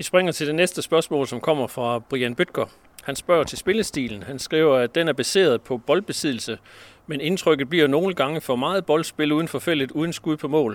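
A man with a plain, everyday voice speaks at a moderate pace and a fairly high pitch with ordinary pitch variation, in a very clean recording with a silent background. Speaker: sports editor and podcast host. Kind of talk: interview. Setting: outdoors.

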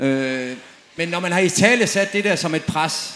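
There is noticeable background noise and audible room echo. A man talks at a high pitch with ordinary pitch variation. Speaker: former professional footballer. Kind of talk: panel discussion on stage. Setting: tent with live audience.

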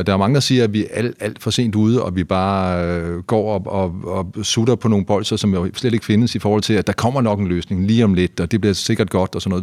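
In a very clean recording with a silent background, a man with a normal speaking voice, fairly low in pitch, talks at a fairly quick pace with hardly any pauses and ordinary pitch variation. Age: 50s. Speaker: journalist and podcast host. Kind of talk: casual chat.

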